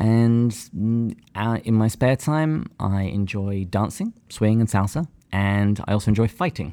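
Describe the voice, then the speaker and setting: In an English accent, a man speaks at a fairly slow pace with a fairly low pitch, a dark, mellow tone and very even loudness on a very clean recording with a silent background. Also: ordinary pitch variation, hardly any pauses. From England. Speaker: podcast co-host. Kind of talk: casual chat.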